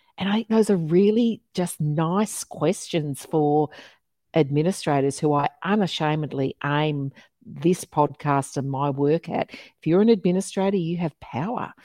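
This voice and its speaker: A woman's very deep, low voice with a dark, mellow tone, in an Australian accent, at a fairly slow pace, dry and close with no echo. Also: ordinary pitch variation. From Melbourne, Australia. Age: 50s. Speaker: podcast host, diversity and inclusion consultant. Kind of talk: interview podcast conversation.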